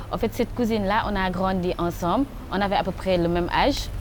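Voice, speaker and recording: Here is an unremarkable speaking voice from a woman at a medium pitch. She keeps a moderate pace with ordinary pitch variation. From Senegal. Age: 20s. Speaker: youth rights advocate. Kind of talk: testimony.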